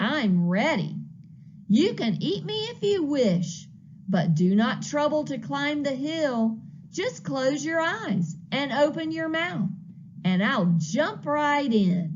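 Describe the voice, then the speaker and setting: A female-sounding put-on character voice, fairly high in pitch with very wide pitch swings, moves at a very slow pace. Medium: read story. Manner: calm.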